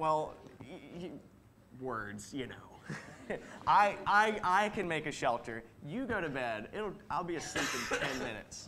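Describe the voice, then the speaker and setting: Noticeable background noise sits behind a man's voice. He speaks at a fairly slow pace with very wide pitch swings. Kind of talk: comic skit performance. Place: church.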